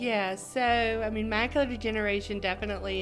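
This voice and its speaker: With music in the background, a woman keeps to a moderate pace as she speaks. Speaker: optometrist. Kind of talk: interview answer.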